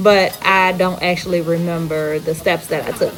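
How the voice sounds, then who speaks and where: A woman's medium-pitched voice in a New Orleans accent, fairly slow and fairly even in intonation, with music in the background. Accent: full New Orleans. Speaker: home cook vlogger. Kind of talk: cooking tutorial voiceover. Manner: casual, conversational.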